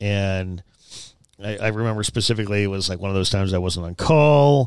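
A man with an unremarkable speaking voice, fairly low in pitch, at a fairly quick pace with ordinary pitch variation, on a very clean recording with a silent background. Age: 40s. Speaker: production company owner. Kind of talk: casual chat.

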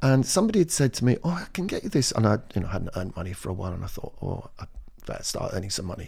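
A man with an English accent speaks very fast, with very wide pitch swings. His tone is dark, mellow and somewhat breathy, on a very clean recording with a silent background. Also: medium pitch for a man. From England. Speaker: community drama director. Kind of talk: casual chat.

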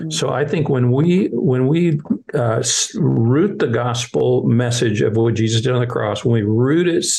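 A man with a medium-pitched, somewhat breathy voice speaks at a very slow pace. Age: 60s. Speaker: children's ministry leader. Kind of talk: interview.

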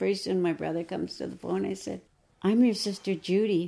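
A woman with an American accent and a fairly low-pitched, dark, mellow tone. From Minnesota. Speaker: Native adoptee. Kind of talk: interview.

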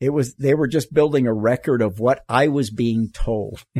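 A man's medium-pitched, normal speaking voice with an American accent, at a moderate pace, with a dry, close sound and no echo. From US South, Florida. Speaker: human rights lawyer and climber. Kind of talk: casual interview.

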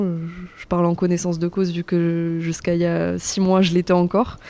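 A woman's fairly low, dark, mellow voice with monotone, flat intonation. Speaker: civic service volunteer. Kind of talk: interview. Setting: cinema lobby.

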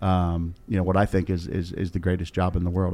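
Fairly quick and dark, mellow in tone, a man speaks with an American accent. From Maryland, US. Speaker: university athletics director. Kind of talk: interview. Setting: studio. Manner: halting, repeats words.

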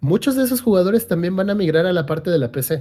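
A man speaks at a fairly quick pace with a dark, mellow tone and lively intonation. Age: 30s. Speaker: gaming streamer and podcast co-host. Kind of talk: casual chat.

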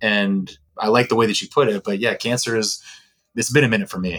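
This man has a normal speaking voice, with a fairly low pitch, ordinary pitch variation and an American accent, and he talks at a fairly quick pace. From Texas. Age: 40s. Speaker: former sports event host, athlete agent. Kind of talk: casual interview chat.

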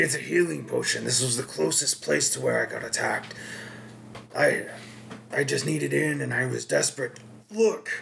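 Clear background noise sits behind a man doing a put-on character voice at a moderate pace. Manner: desperate, pleading.

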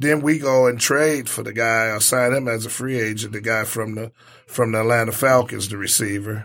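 The man has a plain, everyday voice at medium pitch. He speaks at a moderate pace with fairly even intonation. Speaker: sports talk co-host. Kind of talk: casual sports talk. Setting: studio.

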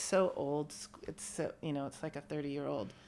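A woman speaks with an American accent. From US West Coast, San Francisco Bay Area. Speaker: friend of the host. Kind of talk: casual chat.

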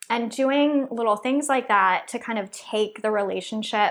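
In a very clean recording with a silent background, a woman speaks at a moderate pace with an American accent. She has a normal speaking voice, fairly high in pitch, with ordinary pitch variation. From Texas. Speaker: entrepreneur. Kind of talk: interview.

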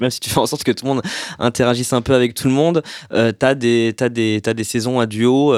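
In a normal speaking voice, a man talks fairly quickly at medium pitch with fairly even intonation, recorded dry and close with no echo. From France, Paris suburbs. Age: 30s. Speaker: screenwriter. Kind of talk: casual chat.

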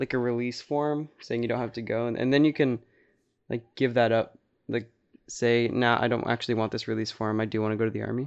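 A man with an unremarkable speaking voice talks at a fairly quick pace, his medium pitch held in fairly even intonation. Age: 18. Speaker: podcast co-host. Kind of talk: casual chat.

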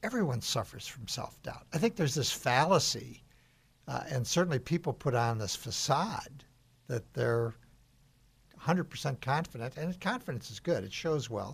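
A man with an American accent talks at a moderate pace with a fairly high pitch, vocal fry, and very wide pitch swings. The recording is very clean, with a silent background. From US Midwest, northern Illinois. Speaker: radio host and former executive. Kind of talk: radio interview. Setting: studio.

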